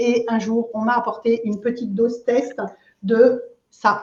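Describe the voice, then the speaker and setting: A woman speaks at a high pitch with a dark, mellow tone. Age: 60s. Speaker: aloe vera product seller, entrepreneur. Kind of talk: interview, casual chat. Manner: hesitant, many fillers.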